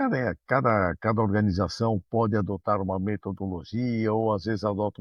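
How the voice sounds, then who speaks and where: A male voice sits fairly low in pitch, moving at a fairly quick clip with ordinary variation in pitch. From Brazil, São Paulo city. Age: 60s. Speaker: management consultant and university professor. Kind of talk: interview.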